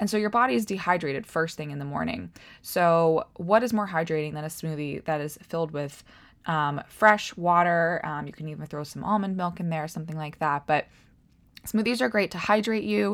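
In a normal speaking voice, a woman with an American accent talks at a fairly quick pace, her pitch fairly low and her intonation lively. Her loudness swings widely, and the recording is very clean, with a silent background. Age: 20s. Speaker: health coach and podcast host. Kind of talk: casual solo talk. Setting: at home by a window.

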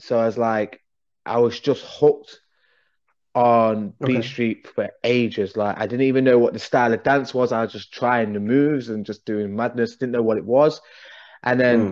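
Speaking at a moderate pace, a man with an East Midlands accent keeps a medium pitch and fairly even intonation. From English Midlands (Derby). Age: 30s. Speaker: breakdancer and league organizer. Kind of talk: casual chat.

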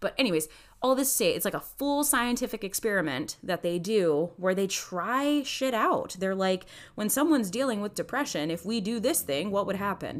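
A woman speaks at a medium pitch with very wide pitch swings. The recording is very clean, with a silent background. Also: moderate pace. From Mexican-American background. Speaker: therapist and podcast host. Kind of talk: solo educational podcast talk. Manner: casual, filler-heavy (um, like).

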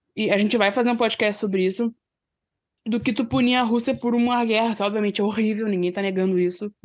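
Against a quiet background, a woman speaks very fast at a fairly high pitch, her loudness very even and her intonation fairly even. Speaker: hockey podcaster. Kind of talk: casual chat.

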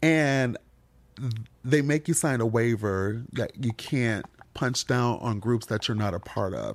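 In an unremarkable speaking voice, a man with an American accent talks at a fairly slow pace and medium pitch, with ordinary pitch variation, on a very clean recording with a silent background. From Michigan, Detroit. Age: 40s. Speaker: comedian. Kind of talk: casual chat.

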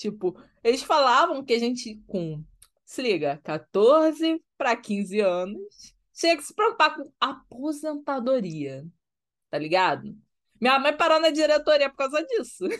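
A woman's high-pitched voice with very wide pitch swings, big swings in loudness and a fairly slow pace, against a quiet background. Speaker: podcast co-host. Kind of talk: casual chat.

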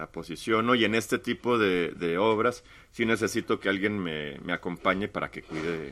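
A man's fairly low, bright and sharp voice at a moderate pace with ordinary pitch variation, over a quiet background. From Mexico-US border, Tamaulipas/Monterrey. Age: 40s. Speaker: visual artist. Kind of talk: casual interview.

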